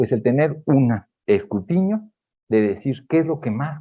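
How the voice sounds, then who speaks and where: A man talks with a Mexican accent at a medium pitch. His pitch swings very widely. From Mexico. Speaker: geriatrician. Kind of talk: lecture. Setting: auditorium with audience.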